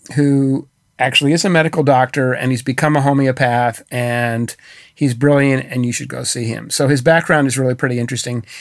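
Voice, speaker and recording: A man with an American accent and an unremarkable speaking voice, fairly high pitch and ordinary pitch variation, moderate pace, in a very clean recording with a silent background. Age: 60s. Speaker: author. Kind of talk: interview.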